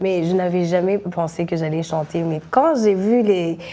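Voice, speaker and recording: A woman speaks very slowly. Her intonation stays fairly even. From Burundi. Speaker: singer, rapper and poet. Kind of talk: interview. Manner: halting, many hesitations and repeated words.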